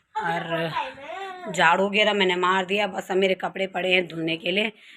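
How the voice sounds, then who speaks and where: A woman's medium-pitched voice moves very slowly, delivered in a flat, monotone way. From Uttarakhand, India. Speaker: vlogger. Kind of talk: casual vlog talk to camera.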